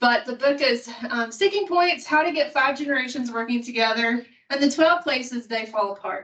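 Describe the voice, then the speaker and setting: In a Kentucky accent, a woman speaks with a high pitch and lively intonation. Her pace is moderate, with hardly any pauses. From Kentucky, Appalachia. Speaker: student affairs administrator. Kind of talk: conference presentation.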